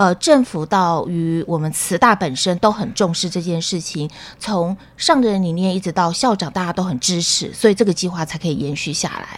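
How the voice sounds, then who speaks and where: A woman with a medium pitch speaks in an energetic tone. She keeps a moderate pace with ordinary pitch variation. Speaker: public health professor. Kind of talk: radio interview. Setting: studio.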